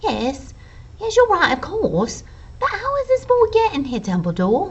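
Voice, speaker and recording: A female-sounding, put-on character voice at an extremely high pitch moves at a moderate pace over light background noise. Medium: read story. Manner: brisk, clipped.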